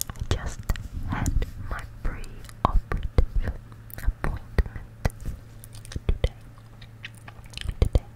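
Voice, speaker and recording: Long, frequent pauses break up a whisper that moves at a very slow pace. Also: woman. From New Zealand. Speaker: ASMR creator. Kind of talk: ASMR whispers. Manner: whispered. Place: home room. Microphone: studio mic.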